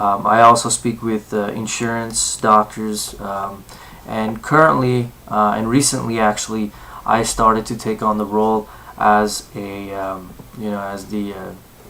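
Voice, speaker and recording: Over noticeable background noise, a man with an American accent speaks with big swings in loudness. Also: fairly even intonation. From Southern California. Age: 20s. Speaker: university student. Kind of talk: self-introduction for a class assignment. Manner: halting, many fillers.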